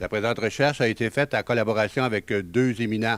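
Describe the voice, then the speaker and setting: A man's medium-pitched voice at a fairly quick pace, ordinary pitch variation, dry, close sound with no echo, and a very clean recording with a silent background. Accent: Quebec. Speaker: genealogy author and lecturer. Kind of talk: lecture. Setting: conference room with audience. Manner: hesitant, many filler sounds.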